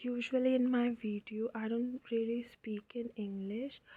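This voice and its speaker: In an Indian accent, a woman with a fairly high pitch speaks at a very slow pace with monotone, flat intonation. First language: Hindi. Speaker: craft tutorial creator. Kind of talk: tutorial. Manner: casual, hesitant with fillers.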